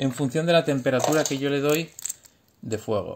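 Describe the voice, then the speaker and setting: With light background noise behind him, a man speaks at a moderate pace in a fairly high voice and an animated tone. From Spain. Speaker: engineer parent explaining science to his children. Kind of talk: home science demonstration for kids. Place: home room. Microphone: phone near.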